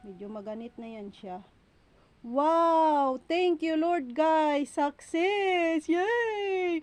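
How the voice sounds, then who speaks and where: A woman speaks at a very slow pace in an extremely high pitch. Her voice has very wide pitch swings and big swings in loudness. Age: 40s. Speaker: vlogger. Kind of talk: casual vlog monologue. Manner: talkative.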